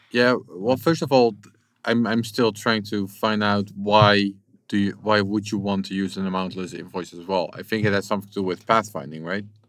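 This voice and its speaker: A man has an ordinary speaking voice at a fairly low pitch. He keeps a moderate pace with fairly even intonation. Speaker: podcast host. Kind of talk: casual interview. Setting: on location in El Salvador.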